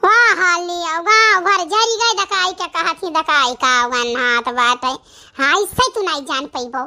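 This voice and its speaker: An extremely high-pitched, cartoonish character voice from a woman, with very wide pitch swings. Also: moderate pace. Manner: dramatic, chatty.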